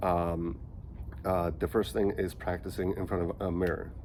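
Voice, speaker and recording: This man's very deep, low voice shows vocal fry and ordinary pitch variation. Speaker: vlogger who stutters. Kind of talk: casual vlog talk. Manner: choppy, halting.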